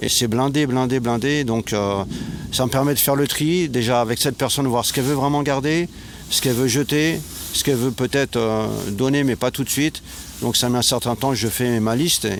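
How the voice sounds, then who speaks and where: A man speaks fairly quickly at a medium pitch, his intonation fairly even and his loudness very even. There is noticeable background noise. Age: 60s. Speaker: retired volunteer, guest. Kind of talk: interview. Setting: outdoors.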